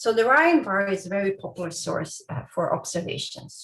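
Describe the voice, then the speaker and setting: Her voice is somewhat breathy and sits at a fairly high pitch. This woman's pitch swings very widely. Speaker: astrophysics researcher. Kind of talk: lecture.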